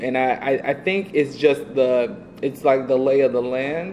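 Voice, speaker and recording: Speaking fairly slowly in an American accent, a man with a fairly high pitch shows ordinary pitch variation over noticeable background noise. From US South (Atlanta, Georgia). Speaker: advertising creative director. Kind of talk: casual interview. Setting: office.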